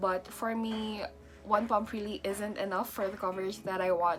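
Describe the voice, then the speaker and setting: Over music in the background, a woman of medium pitch speaks at a fairly slow pace with fairly even intonation. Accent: non-native. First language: not English. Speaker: beauty vlogger. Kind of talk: casual talk to camera.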